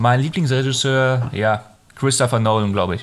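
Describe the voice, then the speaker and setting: A man speaks at a fairly slow pace with ordinary pitch variation amid noticeable background noise. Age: 30s. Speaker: film podcast host. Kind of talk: casual chat.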